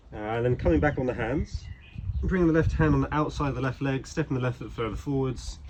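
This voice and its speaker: A man speaks very fast at a medium pitch with lively intonation over noticeable background noise. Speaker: yoga teacher. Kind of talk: guided yoga class instruction.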